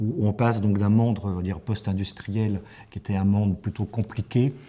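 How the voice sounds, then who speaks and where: The voice is somewhat breathy with a dark, mellow tone, moving at a fairly quick pace with fairly even intonation. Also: man. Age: 60s. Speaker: professional coach. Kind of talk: interview. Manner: hesitant, many fillers and repetitions.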